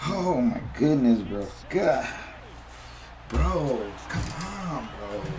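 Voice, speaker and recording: Long, frequent pauses break up a man's very slow speech, and his pitch swings very widely. Audible room echo and noticeable background noise fill the recording. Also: medium pitch for a man. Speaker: gamer streaming competitive play. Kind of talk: live gameplay commentary. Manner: animated; whispering.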